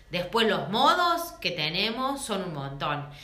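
A woman speaks at medium pitch and a very slow pace. Audible room echo and noticeable background noise are present. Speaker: feminist podcast co-host. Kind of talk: casual chat.

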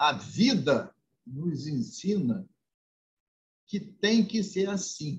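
A man's high-pitched voice, very slow, with lively intonation and long, frequent pauses. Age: 70s. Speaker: state politician. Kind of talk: interview. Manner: formal.

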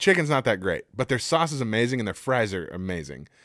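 This man talks at a medium pitch and a fairly quick pace, with very wide pitch swings and vocal fry. The recording is very clean, with a silent background. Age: 30s. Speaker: podcast co-host. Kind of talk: casual chat.

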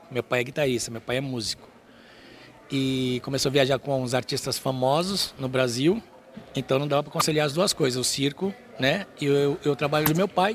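With a fairly high pitch, the man's speech competes with noticeable background noise. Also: ordinary pitch variation, moderate pace. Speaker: trapeze artist and circus teacher. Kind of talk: interview.

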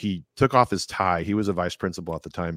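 In an ordinary speaking voice, the speaker goes at a fairly quick pace, the sound dry and close with no echo on a very clean recording with a silent background. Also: man. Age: 30s. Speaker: police detective and podcaster. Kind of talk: casual chat.

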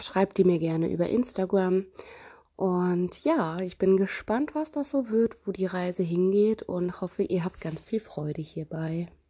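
A woman has an unremarkable speaking voice at a medium pitch with ordinary pitch variation. She talks at a fairly slow pace. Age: 30s. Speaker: parenting podcast host. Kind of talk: casual monologue.

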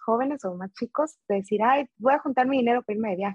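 Very fast speech from a woman, fairly high in pitch, with ordinary pitch variation. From Veracruz, Mexico. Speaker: food business owner. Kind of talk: interview.

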